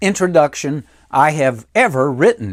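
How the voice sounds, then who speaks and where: A man with a Southern US accent. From US South, Mississippi. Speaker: motivational speaker and humorist. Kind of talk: humorous keynote speech. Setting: recorded virtual presentation.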